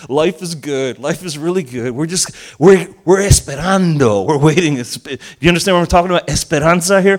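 A man with a high pitch for a man and a New Jersey accent, at a fairly quick pace, animated, with ordinary pitch variation and big swings in loudness. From US Northeast (Elizabeth, New Jersey), Argentinian family. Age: 50s. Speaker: pastor. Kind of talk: sermon.

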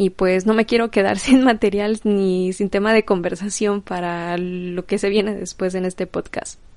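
Against a quiet background, a woman talks in a monotone, flat intonation with hardly any pauses. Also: medium pitch for a woman, fairly slow pace. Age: 20s. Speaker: podcast host and vintage shop owner. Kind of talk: solo podcast monologue.

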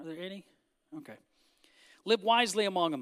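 An American accent comes through on a very clean recording with a silent background. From Northern California. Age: 50s. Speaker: pastor. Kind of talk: sermon. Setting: church with congregation.

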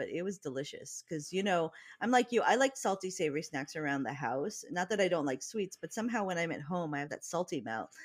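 This woman's fairly low voice swings very widely in pitch, captured in a very clean recording with a silent background. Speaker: podcast co-host. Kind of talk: casual chat.

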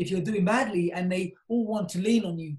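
A man speaks in a South London accent at a high pitch. His pace is fairly quick and his intonation fairly even. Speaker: property company CEO. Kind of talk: interview.

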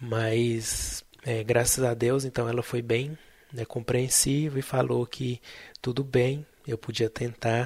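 In a very clean recording with a silent background, a man speaks very slowly at medium pitch, somewhat breathy, with monotone, flat intonation. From central Brazil, Tocantins and Goiânia. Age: 20s. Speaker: podcast host, biomedical scientist. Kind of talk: personal storytelling monologue.

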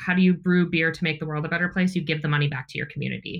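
In an American accent, the voice stays monotone, with flat intonation throughout. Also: woman. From Wisconsin, near Milwaukee. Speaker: brewery sales and marketing director. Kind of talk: interview.

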